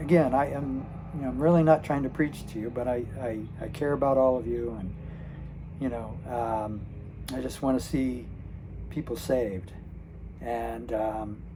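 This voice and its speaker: Here a man speaks at a moderate pace. He leaves long, frequent pauses. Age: 60s. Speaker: retired channel host. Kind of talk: casual talk to camera. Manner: hesitant, halting, many fillers.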